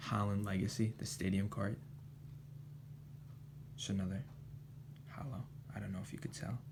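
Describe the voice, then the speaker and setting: A soft-spoken, somewhat breathy man talks at a moderate pace with long, frequent pauses. His pitch is fairly low and ordinary in its variation. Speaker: ASMR creator. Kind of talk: ASMR card show-and-tell, casual talk to camera.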